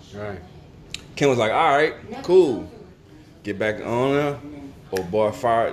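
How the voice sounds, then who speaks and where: Over noticeable background noise and audible room echo, a man at a medium pitch speaks fairly slowly with very wide pitch swings and long, frequent pauses. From Louisiana. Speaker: podcast host. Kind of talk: casual chat.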